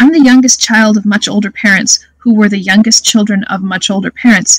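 At a fairly quick pace and medium pitch, a woman speaks in a dry, close sound with no echo.

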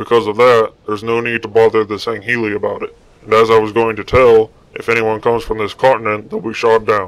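A man's put-on character voice at medium pitch, delivered at a very fast pace. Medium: machinima. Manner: calm, explanatory.

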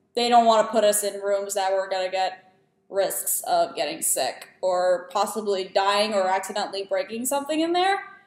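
A woman talks at a moderate pace with ordinary pitch variation. Room echo is audible. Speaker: student vlogger. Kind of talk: casual vlog chat. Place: home room. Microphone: webcam.

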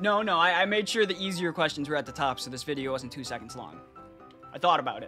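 With music in the background, a man talks at a very fast pace. His pitch is high and his intonation lively. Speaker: gaming streamer. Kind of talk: casual gaming chat with quiz-show hosting.

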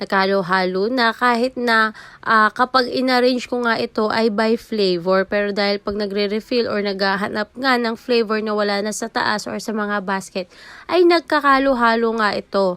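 Speaking at a moderate pace, a woman uses a normal speaking voice, fairly high in pitch, with ordinary pitch variation. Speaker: sari-sari store owner vlogger. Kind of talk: casual vlog narration. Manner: chatty, code-switching Taglish.

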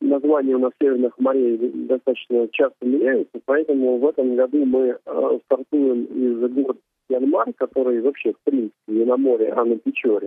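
A man's monotone, flat delivery at a moderate pace and very even loudness, dry with no echo, over a quiet background. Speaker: radio guest. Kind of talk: interview answer. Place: studio. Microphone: headset.

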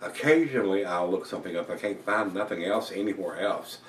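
A man speaks at a moderate pace with a very deep, low pitch and ordinary pitch variation. Audible room echo and light background noise are present. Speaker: beer reviewer. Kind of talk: casual vlog chat. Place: home room. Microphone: camera far.

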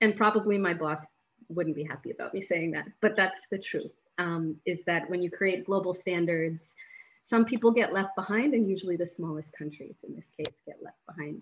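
A woman's loudness swings widely as she talks at a moderate pace, her pitch varying in an ordinary way. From Rwanda and USA. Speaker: humanitarian aid worker; webinar panelist. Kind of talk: panel presentation. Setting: video call. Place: home room. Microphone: video call.

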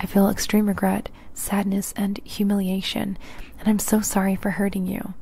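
A soft-spoken woman's somewhat breathy voice with a dark, mellow tone. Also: dry sound with no echo. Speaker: true crime narrator. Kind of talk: ASMR-style true crime narration. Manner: soft-spoken close-mic ASMR voice. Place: home room. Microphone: handheld.

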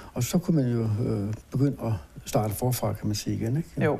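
Somewhat breathy, a man speaks at a fairly quick pace in a dark, mellow tone. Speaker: interviewee. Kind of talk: interview answer. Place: studio. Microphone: lapel.

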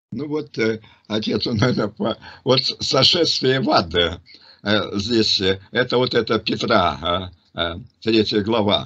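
Speaking at a very slow pace with long, frequent pauses, a man has a bright, sharp tone and ordinary pitch variation. The background is quiet. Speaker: religious teacher answering questions. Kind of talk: religious discussion. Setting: online group call. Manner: halting, many fillers. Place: home room. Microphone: video call.

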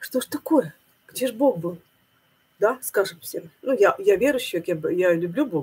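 A somewhat breathy woman's voice, fairly high in pitch, with very wide pitch swings and long, frequent pauses. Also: moderate pace. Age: 50s. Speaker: religious video blogger. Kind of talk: monologue sermon-like video blog. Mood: thoughtful, upset. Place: home room. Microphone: webcam.

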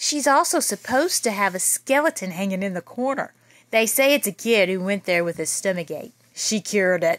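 A woman talks at a moderate pace and a medium pitch. Her tone is fairly bright, and her intonation is lively.

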